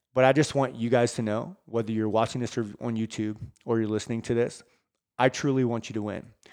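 A man at medium pitch, fairly quick in pace, with fairly even intonation. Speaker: fitness coach and podcast host. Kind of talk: motivational rant and pep talk; earnest direct-address pep talk to listeners. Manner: passionate, sincere, urgent.

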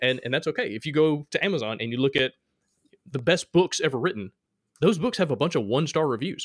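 A man with a Southern US accent talks very fast at a fairly high pitch. His intonation is lively, and the sound is dry and close with no echo. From Alabama, US South. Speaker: podcast host, game designer. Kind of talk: casual interview chat.

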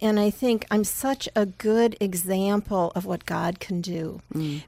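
A woman at medium pitch with ordinary pitch variation and an unremarkable speaking voice, at a fairly slow pace on a very clean recording with a silent background. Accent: American. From Chicago, US Midwest. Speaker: children's book author. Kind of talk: radio interview. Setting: radio studio.

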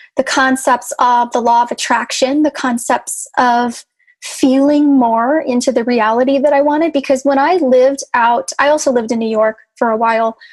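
A woman with an American accent speaks at a moderate pace in a high pitch, her intonation fairly even. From Chicago. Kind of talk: casual interview chat.

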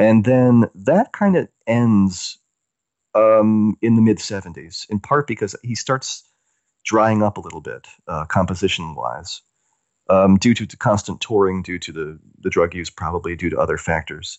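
In a plain, everyday voice, a man speaks at a moderate pace with a fairly low pitch, ordinary pitch variation and big swings in loudness. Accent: American. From US South. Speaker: music writer. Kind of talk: interview.

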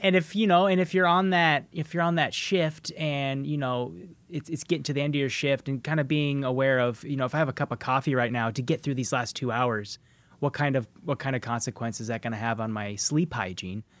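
On a very clean recording with a silent background, a man with a fairly high pitch and an unremarkable speaking voice talks with lively intonation. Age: 30s. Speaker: podcast host. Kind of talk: casual chat; scripted narration.

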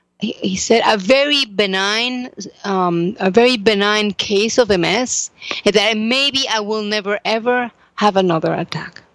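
Fairly slow speech in a Spanish accent, with ordinary pitch variation. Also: woman, fairly high pitch for a woman. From Mexico. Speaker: psychotherapist and author. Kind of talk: interview testimony.

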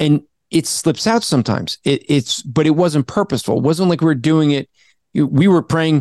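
A normal speaking voice with an American accent moves at a moderate pace, showing ordinary pitch variation and very even loudness. The sound is dry and close with no echo, over a quiet background. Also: man, fairly high pitch for a man. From New Jersey. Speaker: apologist, author and podcaster. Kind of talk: casual Q&A interview answering theology questions.

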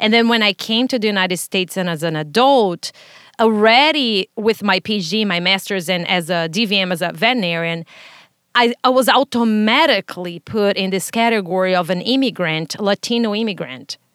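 A woman speaks at a fairly quick pace with a Brazilian accent and lively intonation. Her voice sits at a medium pitch, and the sound is dry and close with no echo. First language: Portuguese. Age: 30s. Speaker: podcast host. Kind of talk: casual interview conversation.

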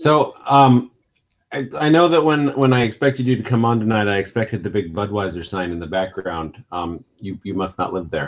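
A man's fairly low voice at a moderate pace, swinging very widely in pitch. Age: 40s. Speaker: podcast host. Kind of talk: casual chat.

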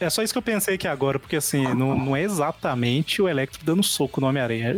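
Over noticeable background noise, a man speaks at a very fast pace in a fairly high voice with ordinary pitch variation. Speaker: podcast host. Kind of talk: casual chat.

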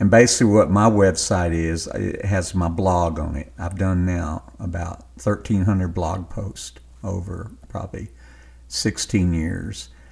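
Somewhat breathy and at a fairly slow pace, the voice carries a Southern US accent and ordinary pitch variation. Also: man, very deep, low pitch for a man. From US South, western Louisiana. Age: 60s. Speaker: novelist. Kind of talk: interview.

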